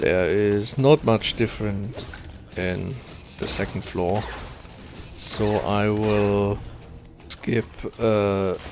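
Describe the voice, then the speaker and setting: A soft-spoken man with a fairly low pitch speaks at a very slow pace with fairly even intonation and long, frequent pauses. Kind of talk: casual gameplay commentary.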